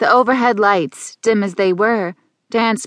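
The reading voice is unforced. Little noise sits behind it.

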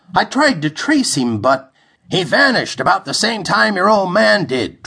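A man performs a put-on character voice at a high pitch. His pitch swings very widely at a moderate pace. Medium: read story. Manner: easygoing, matter-of-fact.

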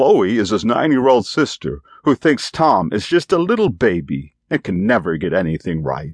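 A man with a medium pitch and an animated tone talks at a moderate pace, using very wide pitch swings and vocal fry, in a dry, close sound with no echo. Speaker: audiobook narrator. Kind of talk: audiobook narration of a children's story, with character voices. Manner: animated, shifting into child and grandad character voices.

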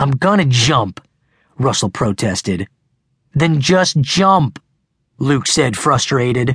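In a dry, close recording with no echo, a man uses a medium-pitched, somewhat breathy voice with a dramatic, menacing tone, very wide pitch swings, a very slow pace and long, frequent pauses. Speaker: audiobook narrator. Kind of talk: scripted audiobook narration of a teen thriller, with dramatic character dialogue. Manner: dramatic, tense and suspenseful, slowing for the fatal shove; voices characters with snarling, mocking and menacing tones.

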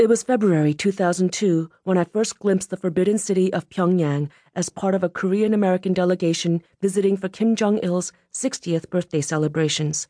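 In a solemn, dramatic tone, a woman with a medium pitch and a dark, mellow tone speaks at a fairly quick pace with fairly even intonation against a quiet background, the sound dry and close with no echo. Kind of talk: audiobook narration, first-person memoir read aloud. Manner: measured, steady, solemn storytelling pace with subdued dramatic tension.

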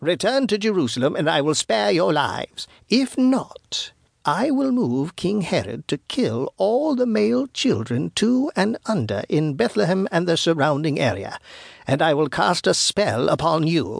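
A man puts on a character voice with a fairly high pitch, big pitch swings, vocal fry and a slightly husky edge. He speaks at a fairly slow pace on a very clean recording with a silent background.

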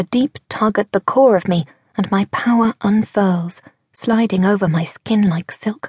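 A woman speaks at a medium pitch and a fairly slow pace, somewhat breathy and animated, with ordinary pitch variation. Her loudness stays very even, and the sound is dry and close with no echo. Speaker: audiobook narrator. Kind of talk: audiobook narration, dramatic first-person fiction. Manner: animated, breathless and urgent in action scenes, with character voices.

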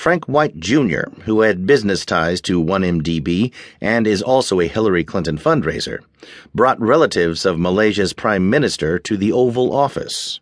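Against a quiet background, a man with an unremarkable speaking voice talks at a fairly low pitch and moderate pace with lively intonation. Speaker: newsreader. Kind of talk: news reading. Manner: formal; steady, brisk headline delivery.

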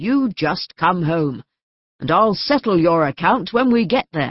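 Putting on a raspy character voice, a woman speaks fairly slowly at a fairly low pitch with very wide pitch swings. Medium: read story. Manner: scolding, exasperated, turning tearful.

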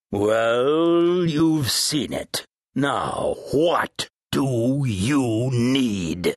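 A man speaks at a very slow pace. His medium-pitched voice has lively intonation. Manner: curt, commanding, impatient.

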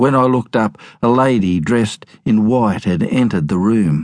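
Speaking with an Australian accent, a man uses a fairly low pitch and lively intonation at a moderate pace. His tone is dramatic, and the background is quiet. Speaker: audiobook narrator. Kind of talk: dramatic narration of memoir, audiobook reading aloud. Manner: storytelling, wry, dramatic.

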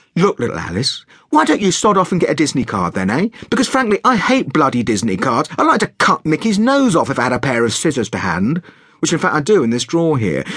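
A man uses a put-on character voice, fairly high and fairly bright with a slightly husky edge. He talks fast with few pauses and very wide pitch swings.

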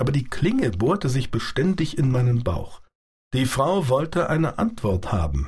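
With a calm, dramatic tone and vocal fry, a man speaks at a moderate pace, his pitch swinging very widely while his loudness stays very even. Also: medium pitch for a man. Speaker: audiobook narrator. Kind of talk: dramatic audiobook narration, first-person reading of a sci-fi novel. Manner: vivid, dramatic, shifting between wry confiding and tense; calm, measured storyteller pace with quoted dialogue voiced in character.

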